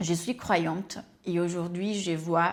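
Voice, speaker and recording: A woman talks at a very slow pace. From Brazil. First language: Portuguese (speaking French). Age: 30s. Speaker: life coach and YouTuber. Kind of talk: personal introduction vlog.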